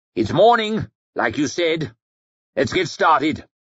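A man puts on a character voice with a fairly high pitch. He moves at a fairly slow pace, his pitch swinging very widely. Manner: carefree, smug, mocking.

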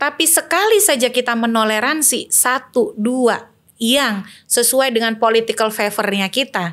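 Here a woman speaks with a fairly high pitch. Her pitch varies in an ordinary way. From Indonesia, Banten; Indonesia. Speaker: election and democracy activist; election guest. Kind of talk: political discussion. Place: studio. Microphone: studio mic.

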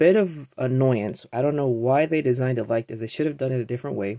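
A man's dark, mellow tone with ordinary pitch variation and a quiet background. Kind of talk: casual tutorial. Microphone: phone near.

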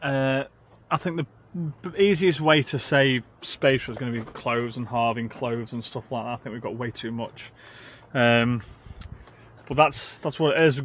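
In a dry recording with no echo, a man talks at a moderate pace with ordinary pitch variation and big swings in loudness. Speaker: van life vlogger. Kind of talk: casual vlog chat. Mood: mildly frustrated, resigned. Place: car. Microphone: phone near.

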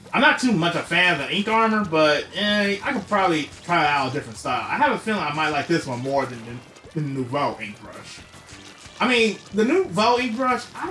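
A man's high-pitched voice at a fairly quick pace, with very wide pitch swings and music playing behind. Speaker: gaming YouTuber. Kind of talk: casual talk to viewers.

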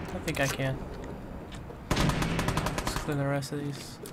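Speech comes at a very slow pace. Loud background noise runs underneath. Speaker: gameplay streamer. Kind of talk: gameplay commentary. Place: home room.

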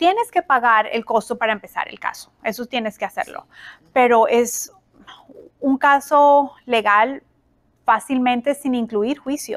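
A woman's high voice at a fairly slow pace, with big swings in loudness, over a quiet background. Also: ordinary pitch variation. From Colombia. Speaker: family mediator, former judge; interview guest. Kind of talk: interview. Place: office.

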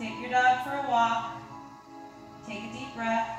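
A woman speaks at a fairly slow pace in a room with strong echo, with clear music playing behind her. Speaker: yoga instructor. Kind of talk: yoga class instruction. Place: home room. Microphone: camera far.

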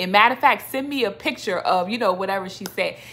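A woman speaks in an animated tone. Her voice is bright and sharp, with ordinary pitch variation. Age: 30s. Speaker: faith vlogger. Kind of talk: personal testimony. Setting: home video recording. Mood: warm, encouraging. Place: home room. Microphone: phone near.

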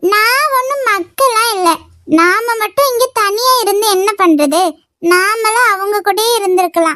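Moving at a fairly slow pace, a woman performs a cartoonish character voice at an extremely high pitch. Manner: innocent, bashful.

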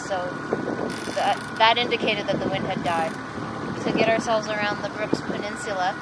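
Over loud background noise, a woman speaks at a fairly quick pace in a dry sound with no echo. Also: ordinary pitch variation. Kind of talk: casual vlog chat. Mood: relaxed, smiling. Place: boat. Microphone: camera far.

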